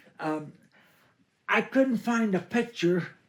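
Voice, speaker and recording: The man talks in an American accent. Very wide swings run through his pitch. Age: 80s+. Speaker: local history speaker. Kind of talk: oral history talk to a group.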